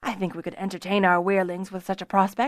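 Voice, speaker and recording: A woman talks very fast in a put-on character voice with a medium pitch. The recording is very clean, with a silent background. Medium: read story. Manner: calm.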